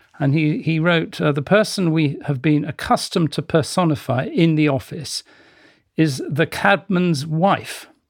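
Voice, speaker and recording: On a very clean recording with a silent background, a man speaks at a fairly slow pace and fairly high pitch in an unremarkable speaking voice. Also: ordinary pitch variation. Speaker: magazine heritage head. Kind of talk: panel discussion.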